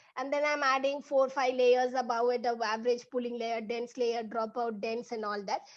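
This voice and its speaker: Her intonation fairly even, a woman talks in a high pitch. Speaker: machine learning instructor. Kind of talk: online workshop tutorial. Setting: online video session. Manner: fast.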